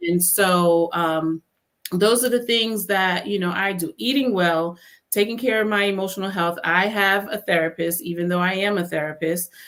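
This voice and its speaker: At a moderate pace, a woman with medium pitch and ordinary pitch variation talks in an unremarkable speaking voice. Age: 60s. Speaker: therapist and author. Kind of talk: podcast interview.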